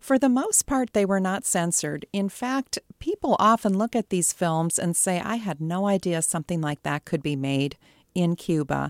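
A woman with an ordinary speaking voice talks at a medium pitch and moderate pace, with lively intonation. The recording is very clean with a silent background, and the sound is dry and close with no echo. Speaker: professor of film studies. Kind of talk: interview.

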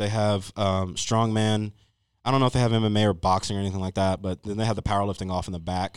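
Very fast and monotone, a man speaks at a fairly low pitch with flat intonation on a very clean recording with a silent background. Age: 20s. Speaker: powerlifter. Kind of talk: casual chat.

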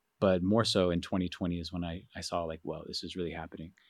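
In an American accent, a man speaks with a very deep, low pitch, and the sound is dry and close with no echo. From US Southwest, South Central Phoenix, Arizona. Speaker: photographer and art educator. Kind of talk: interview conversation. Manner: hesitant, many fillers.

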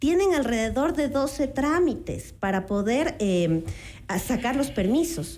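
A woman speaks in a high pitch with a dark, mellow tone. Her intonation is lively and her pace fairly slow. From Ecuador, Quito. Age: 40s. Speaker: architect and city council candidate. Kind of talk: radio interview.

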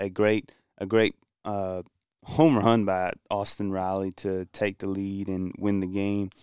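A man with an American accent speaks with monotone, flat intonation in a very clean recording with a silent background, the sound dry and close with no echo. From Kinston, North Carolina. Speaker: sports fan guest. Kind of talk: casual sports talk. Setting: studio.

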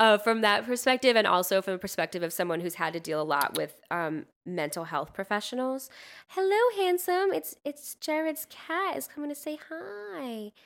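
In a very clean recording with a silent background, a woman with a fairly high pitch speaks at a moderate pace in an animated tone with very wide pitch swings. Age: 20s. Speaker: barista. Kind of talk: casual chat.

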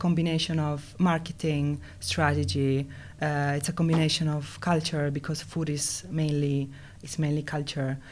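With an Italian accent, a woman speaks in a very deep, low pitch at a moderate pace and with ordinary pitch variation. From Italy. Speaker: food design consultant. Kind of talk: interview. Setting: studio. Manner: hesitant, many fillers.

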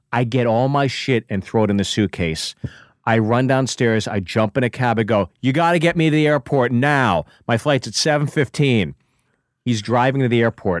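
A man has an unremarkable speaking voice at a medium pitch, with ordinary pitch variation and a moderate pace. The recording is very clean, dry and close, with a silent background and no echo. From Pittsburgh, US. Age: 40s. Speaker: comedian. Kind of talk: casual chat. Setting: studio.

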